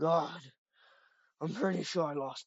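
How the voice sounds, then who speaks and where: A put-on character voice, raspy and at a middle pitch. It moves along at a moderate pace. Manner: panicked, fleeing.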